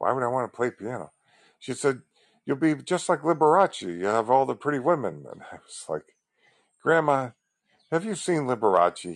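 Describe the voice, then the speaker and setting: A man of medium pitch with an American accent, moderate pace, long and frequent pauses, very wide pitch swings and big swings in loudness, in a dry, close sound with no echo against a quiet background. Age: 60s. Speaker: civil rights advocate podcaster. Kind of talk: solo monologue.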